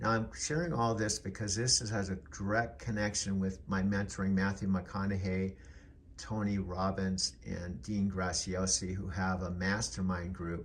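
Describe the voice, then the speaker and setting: A man speaks at a moderate pace in a very deep, low voice that is somewhat breathy, with ordinary pitch variation. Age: 70s. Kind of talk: personal video journal talk to camera. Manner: casual, reflective.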